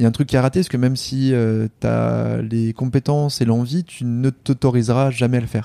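Dry and close with no echo, a man's medium-pitched voice has a dark, mellow tone, ordinary pitch variation and a moderate pace. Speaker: startup founder and CEO. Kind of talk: casual interview.

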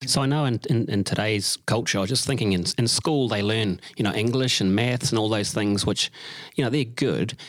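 A fairly low-pitched man with a New Zealand accent at a fairly quick pace, on a very clean recording with a silent background. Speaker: podcast co-host. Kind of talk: interview.

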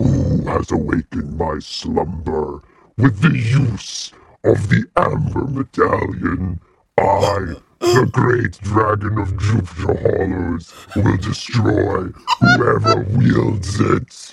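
At a very slow pace, the speaker delivers a put-on character voice. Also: man, fairly low pitch for a man. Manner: menacing, booming.

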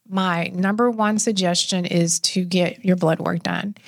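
A woman talks at a very slow pace, her sound dry and close with no echo. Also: very clean recording, silent background. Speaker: health and wellness expert. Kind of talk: casual interview chat.

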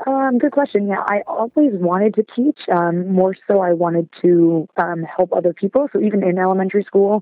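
At a moderate pace and with few pauses, a woman speaks at a medium pitch with ordinary pitch variation, the sound dry and close with no echo.

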